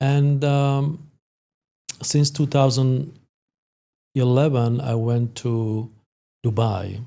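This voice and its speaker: A man speaks at a very slow pace with a medium pitch, fairly even intonation, and long, frequent pauses. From Slovakia. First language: Slovak. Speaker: sport psychologist. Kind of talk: podcast interview. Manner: halting, many fillers.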